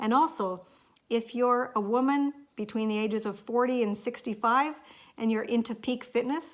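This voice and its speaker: A woman with an ordinary speaking voice talks at a moderate pace, her pitch fairly high with ordinary variation, on a very clean recording with a silent background. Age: 50s. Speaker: lifestyle vlogger. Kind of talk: casual vlog talk to camera.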